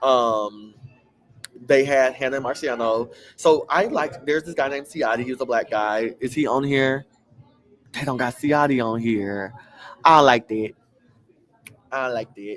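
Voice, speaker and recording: An animated man with an American accent speaks at a moderate pace and a medium pitch. His pitch varies in an ordinary way, and he takes long, frequent pauses. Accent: country accent with twang. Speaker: reality TV recap vlogger. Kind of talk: casual chat. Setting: bar.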